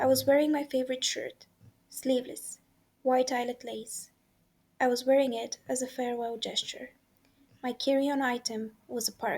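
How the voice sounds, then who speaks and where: In a high, monotone voice with flat intonation, a woman speaks at a moderate pace, leaving long, frequent pauses. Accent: non-native. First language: not English. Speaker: amateur audiobook reader. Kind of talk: audiobook narration. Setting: home recording with background noise.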